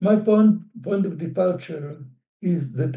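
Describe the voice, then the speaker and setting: In an Israeli accent, a man talks at a moderate pace with a dark, mellow tone and ordinary pitch variation. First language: Hebrew. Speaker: professor. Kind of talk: lecture. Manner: formal.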